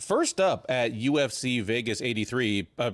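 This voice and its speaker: A man's unremarkable speaking voice, medium in pitch with lively intonation, on a very clean recording with a silent background. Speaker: MMA podcast host and writer. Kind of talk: sports preview chat.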